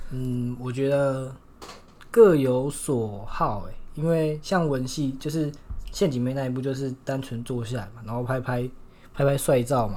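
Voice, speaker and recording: With audible room echo, a man speaks at a fairly slow pace in a dark, mellow tone, at medium pitch with ordinary pitch variation. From Taiwan, Shulin (New Taipei). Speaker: university student. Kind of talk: casual chat.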